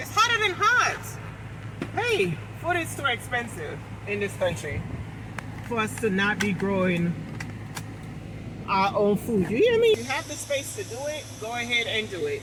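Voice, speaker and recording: Long, frequent pauses break up speech at a moderate pace over noticeable background noise. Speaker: lifestyle vlogger. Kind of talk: casual vlog talk. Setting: outdoors. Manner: loud.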